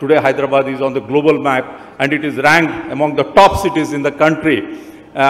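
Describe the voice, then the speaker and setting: A man's fairly quick speech. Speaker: speaker. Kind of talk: formal speech. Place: stage. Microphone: handheld.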